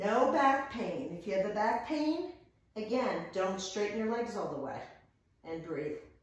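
This woman's voice is fairly high and swings very widely in pitch. The room adds strong echo. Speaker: yoga and fitness instructor. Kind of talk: guided workout class cueing breath-timed reps. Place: home room.

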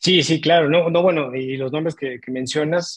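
A man speaks in a Mexican accent with a fairly high pitch and ordinary pitch variation. The background is quiet. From Mexico. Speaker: sports podcast co-host. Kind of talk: interview. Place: home room. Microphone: earbuds.

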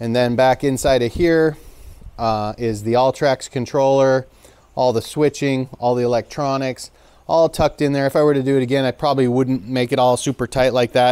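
At a moderate pace, a man speaks with fairly even intonation and very even loudness. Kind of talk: casual walkthrough explanation. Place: garage. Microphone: phone near.

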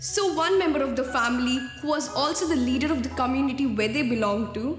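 A woman with a high-pitched voice speaks in a room with audible echo while faint music plays in the background. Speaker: speaker. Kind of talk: motivational talk with a story. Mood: warm, expressive storytelling. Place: studio.

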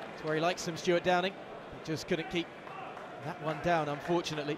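The speech moves at a fairly quick pace in an animated tone, with noticeable background noise behind it. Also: man. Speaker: football commentator. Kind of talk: live sports commentary. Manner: animated, quick play-by-play delivery that rises into excitement on goals.

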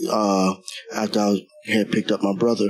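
The voice is monotone and flat, with faint music playing in the background. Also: man. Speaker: interviewee. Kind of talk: interview answer. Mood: somber, emotional recollection. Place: shop. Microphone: handheld.

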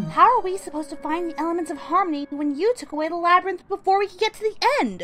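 A woman's put-on character voice at an extremely high pitch and very fast pace, with clear music in the background. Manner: frustrated, pleading.

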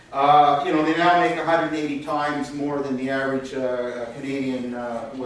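Strong room echo and light background noise surround a man speaking with monotone, flat intonation. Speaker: speaker. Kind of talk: conference talk. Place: hall.

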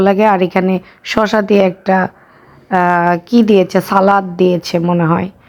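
This woman speaks at a medium pitch. Her intonation is flat and monotone. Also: very even loudness. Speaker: vlogger. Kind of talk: casual vlog narration.

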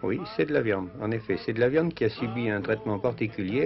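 Music plays in the background. A man speaks at a fairly low pitch with lively intonation. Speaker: travel reporter. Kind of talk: TV travel documentary commentary. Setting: 1950s television studio voice-over. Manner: conversational, explanatory.

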